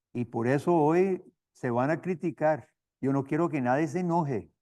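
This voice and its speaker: A man's tone is dark and mellow. He talks at a very slow pace. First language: not Spanish, learned as missionary (speaking Spanish). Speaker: seminary professor and missionary. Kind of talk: lecture. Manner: halting, with repetitions.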